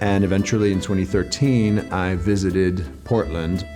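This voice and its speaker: A man with a fairly low pitch speaks at a moderate pace. Music plays in the background. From France (Paris area). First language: French. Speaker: real estate agent. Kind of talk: casual talk to camera.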